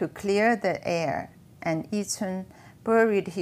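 Reading aloud in a natural voice, the speaker uses ordinary pitch variation.

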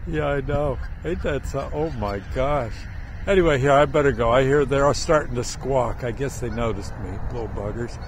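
A man at a moderate pace, dry sound with no echo, light background noise. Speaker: local person filming geese. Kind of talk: casual talk to camera. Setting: outdoors. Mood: amused, amazed. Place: open country. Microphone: phone near.

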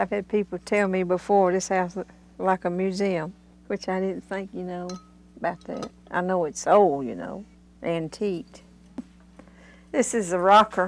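A woman with fairly even intonation and long, frequent pauses. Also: medium pitch for a woman, moderate pace, big swings in loudness. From US South, Appalachian North Carolina. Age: 60s. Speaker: mountain resident. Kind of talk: interview.

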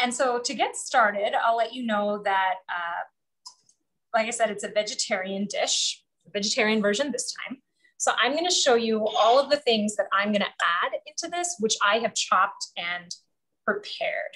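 The background stays quiet. Her tone is bright and sharp. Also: moderate pace. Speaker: home cook host. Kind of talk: casual cooking demo chat. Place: kitchen. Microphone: camera far.

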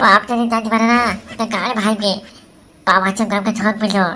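Using a cartoonish character voice, a woman delivers her lines in a monotone, flat intonation. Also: fairly high pitch for a woman, moderate pace. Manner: quick-tempered, defiant.

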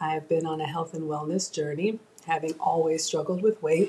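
A woman speaks in an unremarkable speaking voice, pitched fairly low. Her intonation stays fairly even over light background noise. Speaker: home cook streamer. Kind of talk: casual live stream chat. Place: kitchen. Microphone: webcam.

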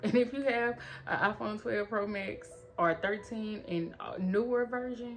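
A woman's voice with light background noise. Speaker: product reviewer. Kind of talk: casual review vlog chat. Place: home room. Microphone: phone near.

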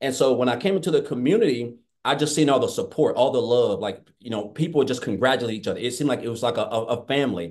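Over a quiet background, a man talks at a very fast pace and medium pitch in a Southern US accent. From Tennessee. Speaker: former welder. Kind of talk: testimony. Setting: video call. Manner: excitable. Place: home room. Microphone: webcam.

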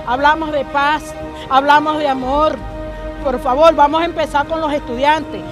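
A woman speaks at a moderate pace in a high, flat monotone, her voice dry with no echo over clear background music. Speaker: mother of a detained student. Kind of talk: public statement to press. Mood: indignant, pleading. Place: street. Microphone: handheld.

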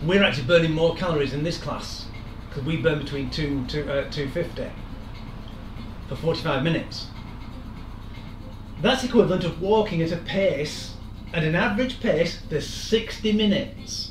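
The speech moves at a moderate pace with long, frequent pauses. Music plays in the background and the room echo is audible. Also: man. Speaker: fitness instructor. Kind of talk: lecture. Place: kitchen. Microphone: camera far.

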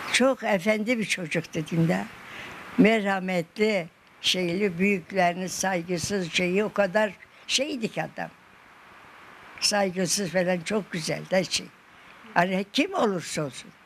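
Pausing long and often, a woman speaks very slowly with ordinary pitch variation over light background noise. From Malatya, Turkey. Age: 80s+. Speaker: elderly local woman interviewed. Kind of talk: interview answer. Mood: fond, sorrowful remembrance. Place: home room.

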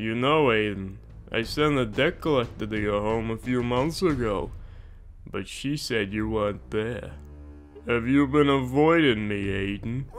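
Over clear background music, a man uses a put-on character voice at medium pitch and a moderate pace. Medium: machinima. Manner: smug, coolly menacing.

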